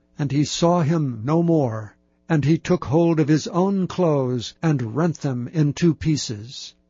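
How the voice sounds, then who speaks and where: A very slow, somewhat breathy male voice with very even loudness and ordinary pitch variation. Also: fairly high pitch for a man. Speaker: audiobook narrator. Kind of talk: scripture audiobook reading, solemn and steady, archaic KJV text read aloud. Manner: measured, formal, even-paced narration.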